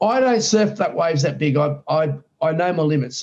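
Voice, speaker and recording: Here is a man with an Australian accent and a fairly high pitch. He talks at a moderate pace with ordinary pitch variation. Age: 60s. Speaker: surfer. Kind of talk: interview on live stream.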